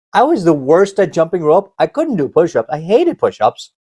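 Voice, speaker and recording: A man in an American accent, high-pitched, at a moderate pace, with very wide pitch swings and a dry, close sound free of echo. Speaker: motivational speaker and karate instructor. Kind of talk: motivational talk. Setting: online event. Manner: halting.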